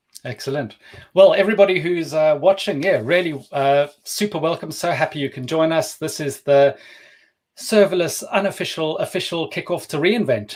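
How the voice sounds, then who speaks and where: With a South African accent, a man talks at a moderate pace in a fairly high pitch, his pitch varying in an ordinary way. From South Africa, Cape Town. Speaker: developer advocate, livestream co-host. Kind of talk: casual live stream chat. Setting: live stream.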